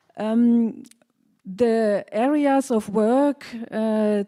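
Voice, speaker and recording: The voice has a dark, mellow tone and a German accent, with ordinary pitch variation. The recording is very clean, the background silent. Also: woman. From Germany. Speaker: party candidate. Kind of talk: campaign speech.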